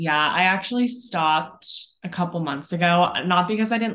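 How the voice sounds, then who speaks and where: A woman with an American accent speaks at a fairly quick pace in a plain, everyday voice, with ordinary pitch variation over a quiet background. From Northern California, US. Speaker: activewear brand founder, former personal trainer. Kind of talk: interview.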